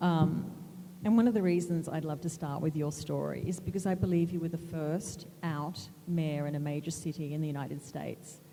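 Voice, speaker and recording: Speaking at a fairly quick pace with an Australian accent, a woman uses a very deep, low pitch and fairly even intonation. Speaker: moderator, magazine editor. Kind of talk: panel moderation.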